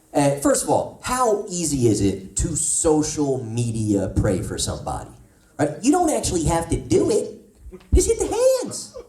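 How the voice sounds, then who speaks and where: A man speaks with a New Jersey accent at a moderate pace. There is audible room echo. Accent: New Jersey American. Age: 40s. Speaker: comedian. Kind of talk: stand-up. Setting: stage with audience.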